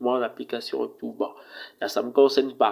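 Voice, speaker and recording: A man speaks at a fairly slow pace. His voice sits fairly high. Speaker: tech reviewer, video presenter. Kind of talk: casual review talk to camera. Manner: hesitant, many fillers.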